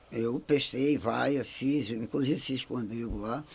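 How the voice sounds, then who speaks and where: A man keeps a fairly slow pace, speaking at a medium pitch. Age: 60s. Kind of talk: podcast interview. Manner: halting.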